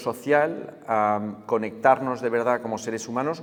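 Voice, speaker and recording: Speech moves at a very slow pace. The intonation is fairly even. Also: man. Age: 40s. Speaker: writer and tech critic. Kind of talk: interview. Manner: hesitant, many fillers.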